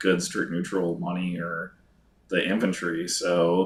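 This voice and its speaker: The speaker is a man with an American accent. He talks at a fairly slow pace. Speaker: board game expert. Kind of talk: casual chat.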